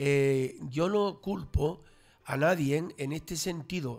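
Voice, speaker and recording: This man's voice sits at a fairly high pitch. The background is quiet. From Canary Islands, Los Realejos (Tenerife); Canary Islands. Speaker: local traditions commentator; radio guest. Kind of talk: casual radio panel chat. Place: studio. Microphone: studio mic.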